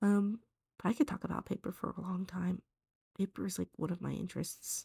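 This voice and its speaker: A woman talks at a fairly quick pace with a dark, mellow tone, somewhat breathy, at a medium pitch. The sound is dry and close, with no echo. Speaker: art tutorial creator. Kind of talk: drawing tutorial commentary. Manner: hesitant, many ums.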